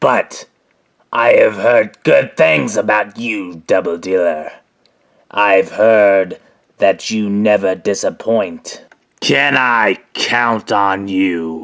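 Using a put-on character voice, a man speaks at a fairly low pitch and a very slow pace. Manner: smug, casual, mocking.

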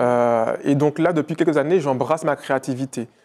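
Fairly high pitch and ordinary pitch variation from a man. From Martinique. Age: 30s. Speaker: entrepreneur; interview guest. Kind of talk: interview. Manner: hesitant, with many fillers. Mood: calm, reflective. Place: studio. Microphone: lapel.

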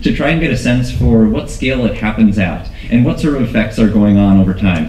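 A man speaks over light background noise, with audible echo from the room. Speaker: research scientist. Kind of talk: conference talk. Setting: stage with audience. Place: hall.

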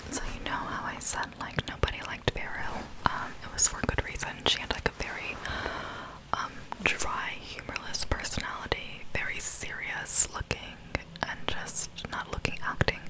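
A soft-spoken woman is whispering at a moderate pace. Loud background noise surrounds her. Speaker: storytelling vlogger. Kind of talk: casual vlog chat. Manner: close soft whisper into microphone. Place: home room. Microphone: studio mic.

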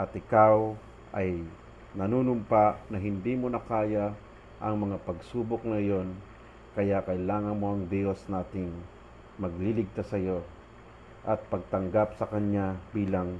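With long, frequent pauses, a man speaks fairly slowly at a fairly low pitch in a dark, mellow tone with fairly even intonation. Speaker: religious storyteller. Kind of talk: testimony.

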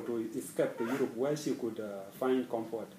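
Amid light background noise and audible room echo, a man at medium pitch speaks at a fairly quick pace. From South Sudan. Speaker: scholarship student. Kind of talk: personal interview. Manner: halting. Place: office. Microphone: camera far.

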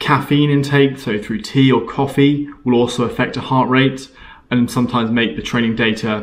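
A man's voice, with ordinary pitch variation, moves along at a moderate pace. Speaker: coach explaining training. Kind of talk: tutorial. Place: home room. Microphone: camera far.

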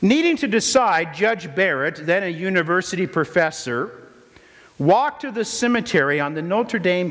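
Noticeable background noise sits behind a man speaking in a high pitch. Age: 50s. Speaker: pastor. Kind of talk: sermon; prayer. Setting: church.

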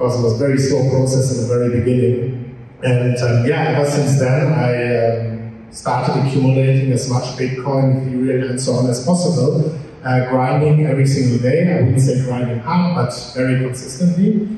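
Dark and mellow in tone, a man speaks at medium pitch and a moderate pace. His intonation is fairly even, with audible room echo.

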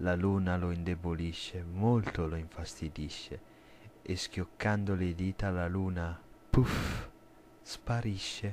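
Man's very deep, low voice, very slow and fairly even, with long, frequent pauses. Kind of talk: bedtime story, rhyming creepy tale read aloud.

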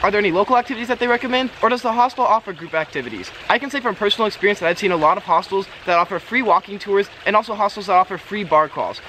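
A man talks at a very fast pace in a raised, projected voice over light background noise. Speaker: travel vlogger. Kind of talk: casual vlog tips. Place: garden. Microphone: camera far.

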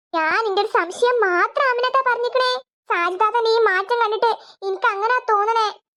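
A woman speaks in a cartoonish character voice at an extremely high pitch. Her pace is moderate, and her pitch varies an ordinary amount.

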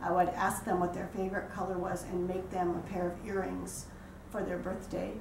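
A woman speaks with audible room echo around her voice. There is light background noise. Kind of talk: interview. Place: home room. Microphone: camera far.

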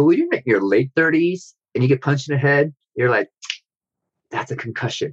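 With an American accent, a man speaks at a moderate pace in a fairly high, somewhat breathy voice with ordinary pitch variation and long, frequent pauses, recorded with a dry, close sound and no echo. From US Midwest. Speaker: novelist and martial artist. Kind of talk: interview conversation. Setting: video call. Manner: halting, many fillers.

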